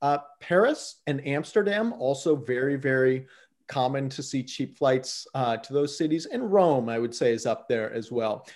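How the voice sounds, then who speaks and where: A man with an American accent speaks at a moderate pace. His pitch is fairly high, with ordinary variation. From US Midwest, southwest Ohio. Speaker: flight deals company founder. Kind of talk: casual interview.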